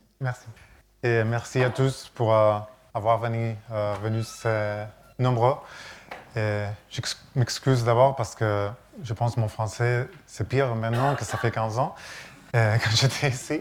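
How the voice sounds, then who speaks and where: Speaking very slowly at a medium pitch, a man leaves long, frequent pauses. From Catalonia, Spain. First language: Catalan (speaking French). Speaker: architect. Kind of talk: lecture. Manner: halting.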